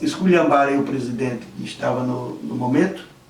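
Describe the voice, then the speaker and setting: Noticeable background noise and audible echo from the room accompany a man who talks at a moderate pace. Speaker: videomaker and poetry enthusiast. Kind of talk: interview.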